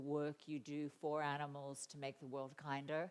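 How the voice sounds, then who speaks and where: This woman has a very deep, low voice and a slight Australian accent, and she speaks at a moderate pace. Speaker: animal advocacy speaker and author. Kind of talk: conference talk. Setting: conference stage with audience.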